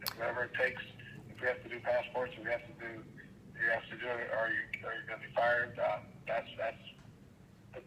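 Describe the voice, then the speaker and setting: A man at a fairly quick pace with long, frequent pauses and big swings in loudness, over noticeable background noise. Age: 70s. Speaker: county commissioner. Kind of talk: phone interview.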